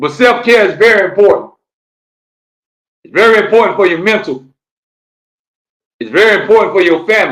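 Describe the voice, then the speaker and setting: A man with an American accent and a high pitch, animated in tone, at a fairly quick pace with ordinary pitch variation and long, frequent pauses. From Florida, Fort Lauderdale. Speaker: podcast host and rapper. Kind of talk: live-streamed motivational talk. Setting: live stream, solo on camera.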